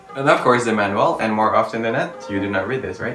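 With clear music behind him and audible room echo, a man speaks with ordinary pitch variation. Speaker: gadget vlogger. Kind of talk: casual unboxing vlog chat. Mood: cheerful, curious. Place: home room. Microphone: phone near.

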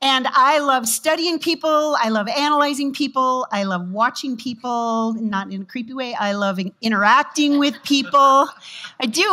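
A woman projects a raised voice at a moderate pace. Her tone is bright and sharp. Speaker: pastor. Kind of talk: sermon. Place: church. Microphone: headset.

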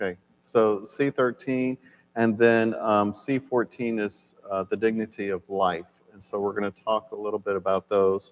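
A man speaks at a fairly slow pace with fairly even intonation. His pitch is fairly low. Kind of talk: lecture. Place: church. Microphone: lapel.

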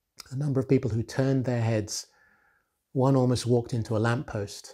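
Against a quiet background, a man with a dark, mellow tone and a somewhat breathy voice speaks at a fairly quick pace with fairly even intonation. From Nigeria. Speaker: author and retail executive. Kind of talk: motivational talk to camera. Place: home room. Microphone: lapel.

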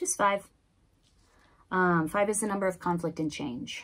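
With an American accent, a woman is speaking. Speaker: tarot reader. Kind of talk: tarot reading. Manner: casual. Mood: calm, warm, mystical. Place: home room.

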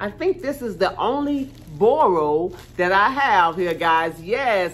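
A woman's voice with lively intonation. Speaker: haul vlogger. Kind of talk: casual vlog chat. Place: home room. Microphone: phone near.

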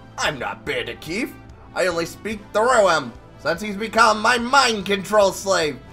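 With clear music in the background, a man uses a put-on character voice at high pitch and a moderate pace. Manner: theatrical, menacing.

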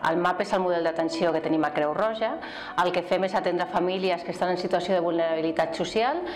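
A woman's fairly low voice at a very fast pace, very even in loudness, over light background noise. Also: fairly even intonation. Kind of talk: interview answer. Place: office. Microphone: lapel.

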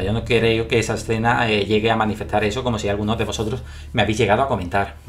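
A man speaks at a fairly low pitch. Faint music can be heard in the background. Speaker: video commentator. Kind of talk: casual vlog commentary on a TV series. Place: home room. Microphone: webcam.

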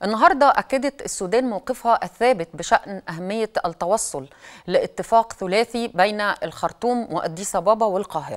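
Speaking at a fairly slow pace, a woman uses lively intonation over a quiet background. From Egypt. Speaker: TV news host. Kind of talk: TV talk show interview. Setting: studio. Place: studio.

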